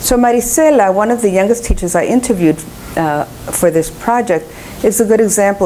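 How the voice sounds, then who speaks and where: With a Spanish accent, a woman speaks at a fairly quick pace, medium in pitch and lively in intonation. Noticeable background noise runs under her voice. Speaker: education professor and researcher. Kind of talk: lecture.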